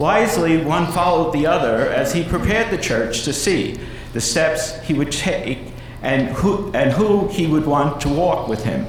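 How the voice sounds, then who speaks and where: A high-voiced man with a New York accent speaks at a moderate pace with lively intonation and very even loudness. Room echo is audible, along with noticeable background noise. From US Northeast, New York (Brooklyn). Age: 70s. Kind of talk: keynote lecture. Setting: conference stage with audience.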